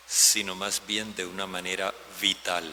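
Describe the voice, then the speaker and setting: With noticeable background noise, a man speaks at a very slow pace. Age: 70s. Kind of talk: homily.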